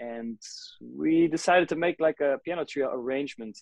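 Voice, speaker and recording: The speech has ordinary pitch variation and a moderate pace. The sound is dry with no echo, over a quiet background. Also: man. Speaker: guest. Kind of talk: interview answer. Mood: relaxed, enthusiastic. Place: home room. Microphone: video call.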